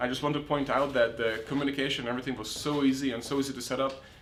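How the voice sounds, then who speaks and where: A man talks at a very fast pace and a fairly high pitch. Audible room echo and noticeable background noise surround him. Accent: American. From outside the US. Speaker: podcast host. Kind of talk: interview podcast. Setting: on location in a city.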